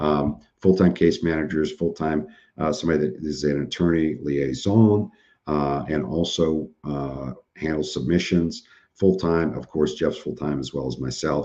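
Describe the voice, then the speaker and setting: Against a quiet background, a man speaks in a very deep, low voice with a dark, mellow tone. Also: ordinary pitch variation, moderate pace. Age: 50s. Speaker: webinar presenter, surplus funds business owner. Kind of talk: live webinar training and Q&A. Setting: live online webinar with chat. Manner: casual, conversational.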